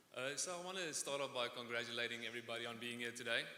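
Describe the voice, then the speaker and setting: A man with a slight South African accent speaks at a very fast pace and a medium pitch. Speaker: student speaker. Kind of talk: commencement speech.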